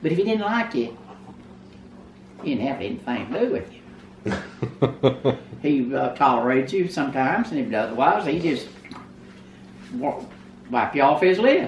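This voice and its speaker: Speaking with a Texan accent, a woman has a very deep, low pitch that makes very wide swings. She keeps a moderate pace with long, frequent pauses over noticeable background noise. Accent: Texan Southern American. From Texas. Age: 80s+. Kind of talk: interview answer.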